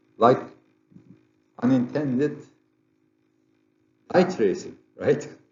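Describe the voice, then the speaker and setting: A man with a strong Turkish accent, somewhat breathy, at a very slow pace with long, frequent pauses and audible room echo. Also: fairly high pitch for a man, ordinary pitch variation. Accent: heavy Turkish. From Turkey. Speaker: geophysicist, conference presenter. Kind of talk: lecture. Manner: halting, with frequent repetitions and fillers.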